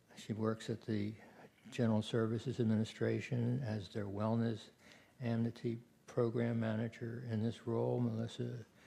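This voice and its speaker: Delivered at a moderate pace, the voice is somewhat breathy with a dark, mellow tone and flat, monotone intonation. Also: man. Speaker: session moderator. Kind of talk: speaker introductions at a conference.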